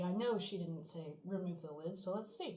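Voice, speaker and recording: A somewhat breathy voice at a moderate pace with ordinary pitch variation. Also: woman. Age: 20s. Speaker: college student. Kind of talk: casual talk to camera.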